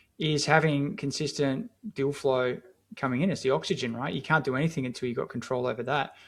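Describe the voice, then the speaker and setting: Talking at a very fast pace, a man with an Australian accent has a fairly high pitch and ordinary pitch variation. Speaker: marketing agency founder. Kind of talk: podcast interview. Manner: casual, filler-heavy.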